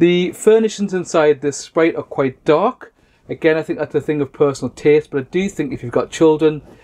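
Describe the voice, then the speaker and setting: With ordinary pitch variation, the man delivers his words at a fairly quick pace. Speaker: caravan reviewer. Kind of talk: product review walkthrough. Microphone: camera far.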